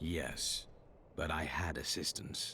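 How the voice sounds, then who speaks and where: In a put-on character voice, a man speaks with a calm, serious tone over clear background noise. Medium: video game. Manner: calm, terse, serious.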